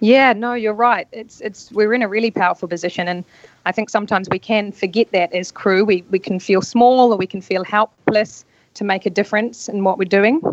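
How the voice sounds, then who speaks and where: A woman with a New Zealand accent, medium pitch and fairly even intonation, fairly quick in a dry, close sound with no echo. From New Zealand, rural North Island. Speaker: yacht stewardess and spa therapist. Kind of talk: casual interview.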